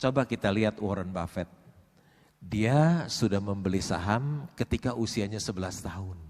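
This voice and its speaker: An unremarkable speaking voice moves at a moderate pace with lively intonation, in a very clean recording with a silent background. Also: man, fairly low pitch for a man. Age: 60s. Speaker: stock investor. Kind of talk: seminar interview.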